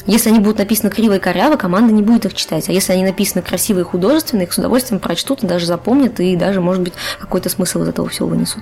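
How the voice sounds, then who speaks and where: Talking at a very fast pace, a woman speaks at a medium pitch. Noticeable background noise is present. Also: ordinary pitch variation. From Chuvashia, Russia. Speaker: game scriptwriter. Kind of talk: casual podcast interview.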